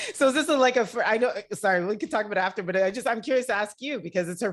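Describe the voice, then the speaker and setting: Energetic in tone, a woman with a Canadian accent races along at a very fast pace with lively intonation in a very clean recording with a silent background. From Montreal, Quebec, Canada. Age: 40s. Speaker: technology executive and motivational speaker. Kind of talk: casual chat.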